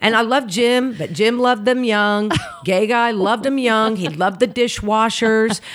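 There is noticeable background noise as a woman speaks at a moderate pace. Her tone is animated. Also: ordinary pitch variation. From Oklahoma City, US. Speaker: comedian. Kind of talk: casual chat.

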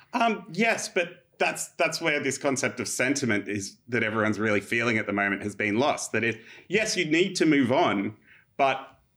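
With an Australian accent, a man speaks at a moderate pace in a fairly high pitch with a bright, sharp tone. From Australia, Illawarra. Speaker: historian. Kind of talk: casual chat.

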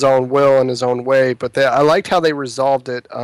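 A man with a plain, everyday voice speaks at a fairly high pitch and a fairly quick pace. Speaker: podcast co-host. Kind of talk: casual podcast discussion.

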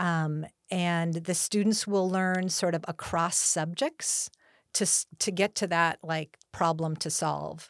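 Speaking at a very slow pace in a Californian accent, a woman uses a fairly low pitch and fairly even intonation, the sound dry and close with no echo on a very clean recording with a silent background. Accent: Californian American. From Southern California, Los Angeles County. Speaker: school principal. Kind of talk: interview.

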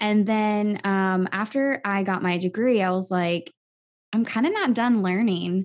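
A woman talks at a fairly slow pace and medium pitch, with an unremarkable speaking voice and ordinary pitch variation. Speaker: health coach and musical theater performer. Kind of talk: interview.

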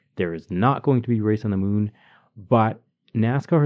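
A man with a Canadian accent and a plain, everyday voice, fairly low in pitch, at a moderate pace with ordinary pitch variation. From Calgary, Canada. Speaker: podcast host. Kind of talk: casual conversational podcast.

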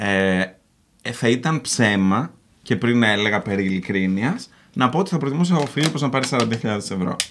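An ordinary speaking voice, a man at medium pitch with lively intonation, very even loudness, and a moderate pace. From Greece, Patras. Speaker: YouTuber. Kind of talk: casual chat. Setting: studio with live audience.

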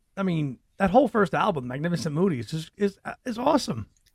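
A fairly high-pitched man with a New York accent, very wide pitch swings and a fairly quick pace. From New York City. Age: 40s. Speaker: podcast host. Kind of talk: casual chat.

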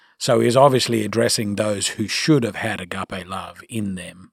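In an Australian accent, a man speaks at a moderate pace with a fairly low pitch and fairly even intonation. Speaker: pastor. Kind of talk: casual chat.

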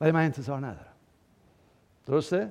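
A man is speaking. His tone is animated. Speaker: pastor. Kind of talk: sermon. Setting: church.

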